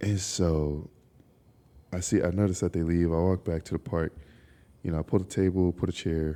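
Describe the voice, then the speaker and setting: Soft-spoken and very deep in pitch, a man talks at a moderate pace in a dark, mellow tone, his delivery monotone and flat, with long, frequent pauses. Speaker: podcast host. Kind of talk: casual chat. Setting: outdoors in a park at night.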